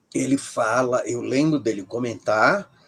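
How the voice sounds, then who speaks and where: Very slow speech with lively intonation, in a dry, close sound with no echo. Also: man. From Brazil, Ceará. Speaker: professor of religious studies. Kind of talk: interview. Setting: livestream video call.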